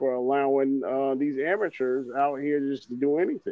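An unremarkable speaking voice from a man at a moderate pace. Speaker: podcast co-host. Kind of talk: casual banter.

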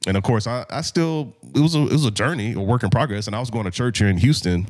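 A man with an American accent talks at a very fast pace on a very clean recording with a silent background. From Indianapolis, then Texas suburbs. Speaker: minister and professor. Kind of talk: casual chat.

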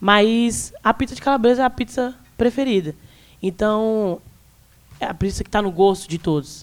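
A woman speaks at a medium pitch with ordinary pitch variation, in an ordinary speaking voice. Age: 20s. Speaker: youtuber, student and activist. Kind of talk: live panel discussion. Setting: live recording at bookstore event with audience.

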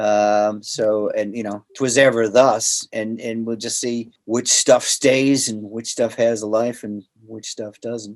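A man talks at a very slow pace in a monotone, flat intonation. His loudness swings widely. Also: medium pitch for a man, hardly any pauses. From US Northeast (Boston). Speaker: voice actor and voice director. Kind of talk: interview.

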